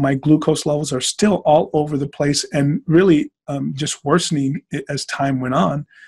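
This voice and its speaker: With an American accent, a somewhat breathy voice talks at a moderate pace in a dry, close sound with no echo. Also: man. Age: 50s. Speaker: former football player, diabetes patient. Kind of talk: interview testimony.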